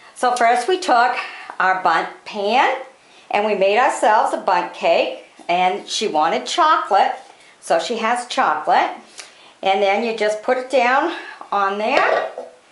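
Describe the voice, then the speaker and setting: Against noticeable background noise, a woman speaks at a fairly slow pace and a fairly high pitch, with very wide pitch swings and long, frequent pauses. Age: 50s. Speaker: cake decorating vlogger. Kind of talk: tutorial. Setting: home kitchen. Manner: casual, chatty.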